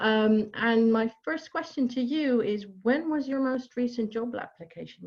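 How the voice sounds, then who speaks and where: This woman speaks with a Dutch accent. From Netherlands, near Amsterdam. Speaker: job coach. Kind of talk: online workshop. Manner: hesitant, many fillers.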